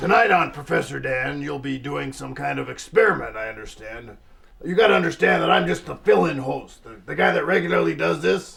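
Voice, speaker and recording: A man's put-on character voice, raspy and medium-pitched, at a fairly quick pace with big swings in loudness. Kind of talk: TV host patter. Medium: comedy sketch. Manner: smarmy, sarcastic.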